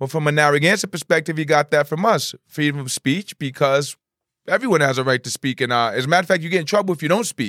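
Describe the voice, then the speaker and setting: Very fast male speech with ordinary pitch variation on a very clean recording, silent background. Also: fairly high pitch for a man. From Providence, Rhode Island. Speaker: community activist and educator. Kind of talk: casual interview.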